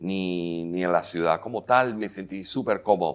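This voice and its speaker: This man talks at a fairly slow pace. His intonation is lively. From Venezuela. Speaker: filmmaker and actor; actor. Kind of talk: interview. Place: hall.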